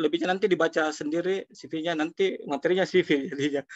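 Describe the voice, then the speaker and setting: This man has a normal speaking voice, pitched fairly high for a man, with fairly even intonation. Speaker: social foundation director. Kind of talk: webinar talk. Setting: video call.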